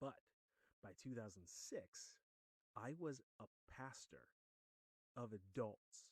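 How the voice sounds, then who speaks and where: Very slow and broken by long, frequent pauses, a man's speech comes with an American accent in a dry, close sound with no echo. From Western New York. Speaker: podcast host, former pastor. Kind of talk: casual monologue. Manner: conversational, some stammering repeats.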